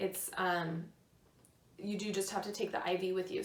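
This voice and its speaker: Amid audible room echo, a woman speaks at a medium pitch and a fairly slow pace. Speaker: lifestyle vlogger. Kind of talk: personal storytelling. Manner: hesitant fillers.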